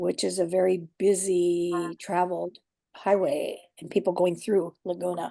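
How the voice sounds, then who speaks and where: A woman with a dark, mellow tone and fairly low pitch speaks at a fairly slow pace in a flat monotone, her loudness swinging widely. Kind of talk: interview answer.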